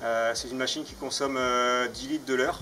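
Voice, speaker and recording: The speaker talks at a fairly quick pace with fairly even intonation. Noticeable background noise can be heard. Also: man. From France, Mayenne (north-west). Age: 30s. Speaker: farmer. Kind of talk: personal testimony. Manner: hesitant, many fillers.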